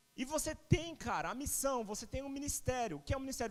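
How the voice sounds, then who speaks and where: With extremely high pitch and ordinary pitch variation, a man speaks at a fairly quick pace. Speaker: preacher. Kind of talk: sermon. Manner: fast.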